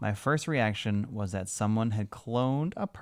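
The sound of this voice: An unforced reading voice carries this clip.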